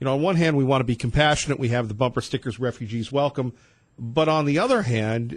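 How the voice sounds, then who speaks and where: A man talks in a somewhat breathy, medium-pitched voice with ordinary pitch variation. The background is quiet. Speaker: radio host. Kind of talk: talk radio. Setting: studio. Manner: fast.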